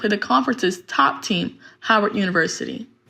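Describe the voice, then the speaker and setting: A woman's bright, sharp voice carries vocal fry and ordinary pitch variation. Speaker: student news reporter. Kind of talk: TV news report.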